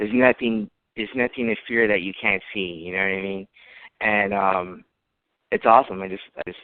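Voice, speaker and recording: A man with an unremarkable speaking voice and fairly low pitch talks fairly quickly, keeping his intonation fairly even while his loudness swings widely. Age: 30s. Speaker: visitor, blind listener. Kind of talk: casual chat.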